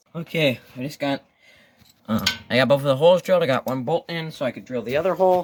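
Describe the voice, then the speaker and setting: In a dry, close sound with no echo, a man talks very fast at a fairly high pitch with ordinary pitch variation. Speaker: DIY mechanic video creator. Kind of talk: casual vlog narration while working. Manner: quiet, trying not to wake dad; casual, filler-heavy.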